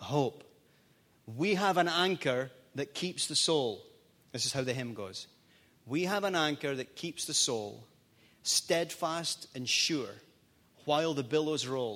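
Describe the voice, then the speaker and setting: A man with a Scottish accent, bright and sharp in tone, with lively intonation and long, frequent pauses, on a very clean recording with a silent background. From Scotland. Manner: animated.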